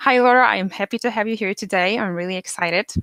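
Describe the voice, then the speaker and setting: With a Polish accent, a woman talks at a fairly quick pace and fairly high pitch, with ordinary pitch variation and a dry, close sound with no echo. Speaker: podcast host. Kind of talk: interview; scripted podcast intro.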